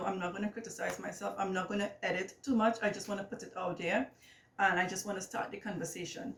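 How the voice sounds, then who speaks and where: Noticeable background noise sits behind a woman with a Trinidadian accent speaking at a fairly quick pace and a medium pitch. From Trinidad and Tobago. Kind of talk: casual vlog monologue. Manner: hesitant, many fillers.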